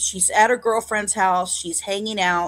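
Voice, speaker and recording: Music plays in the background as a woman talks in an American accent. Her intonation stays fairly even. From Northwest Indiana, Hammond. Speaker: true crime streamer. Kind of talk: live stream narration. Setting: live stream with chat. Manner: loud.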